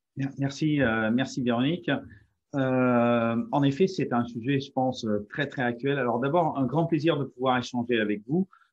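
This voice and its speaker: A man talks at a medium pitch with ordinary pitch variation. He speaks at a fairly slow pace. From France. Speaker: company CEO, positive psychology speaker. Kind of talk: webinar presentation. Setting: online webinar. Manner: halting, many hesitations.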